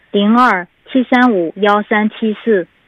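This woman has a normal speaking voice with fairly even intonation. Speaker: city government information officer. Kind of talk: informational report in conversation. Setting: phone call.

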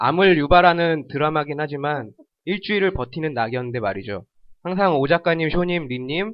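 A man's fairly high, lively voice at a moderate pace, a normal speaking voice. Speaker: podcast guest, entertainment fan. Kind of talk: casual chat.

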